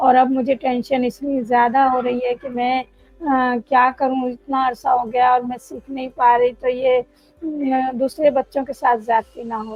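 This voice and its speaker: High-pitched female speech in a monotone, flat intonation, with hardly any pauses. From Pakistan, Karachi. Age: 60s. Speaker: adult student. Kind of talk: interview.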